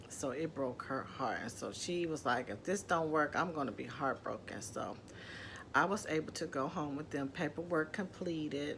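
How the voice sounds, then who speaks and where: A woman with a very deep, low pitch and vocal fry talks at a moderate pace. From Ohio, US Midwest. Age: 50s. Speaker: adoptee telling her life story. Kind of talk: personal testimony. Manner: hesitant, many fillers.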